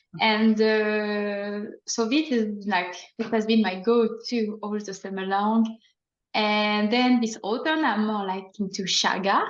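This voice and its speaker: A woman with a slight French accent, fairly high in pitch, fairly even in intonation and very slow in pace, with audible room echo. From France. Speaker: plant ecologist and herb farmer. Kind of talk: casual chat.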